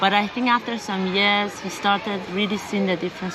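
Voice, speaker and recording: A woman with an Iranian accent speaks at a fairly quick pace in a medium pitch and a flat monotone. Noticeable background noise and audible room echo surround her. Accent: Iranian (Persian) English. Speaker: interviewee, expat living abroad. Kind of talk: casual interview.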